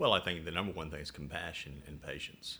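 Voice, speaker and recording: With a Southern US accent, a man speaks at a fairly quick pace in a very deep, low voice, his tone bright and sharp and touched with vocal fry. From US South. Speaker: patient with chronic illness. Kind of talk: interview. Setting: at home. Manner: halting, many fillers.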